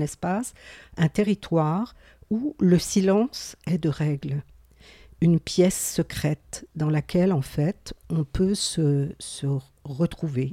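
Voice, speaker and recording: Her dark, mellow tone sits at a fairly low pitch, and this woman uses lively intonation at a very slow pace in a dry, close sound with no echo. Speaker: podcast co-host, mental health community worker. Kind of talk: casual chat.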